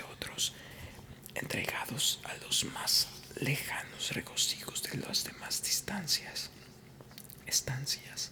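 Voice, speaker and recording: Noticeable background noise is present. Under it, a woman whispers very slowly. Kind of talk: sleep story reading of a gothic tale. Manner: slow, hushed, hypnotic.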